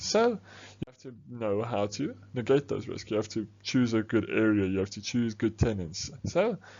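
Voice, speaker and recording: A man speaks at a medium pitch. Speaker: business studies teacher. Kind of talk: tutorial. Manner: fast.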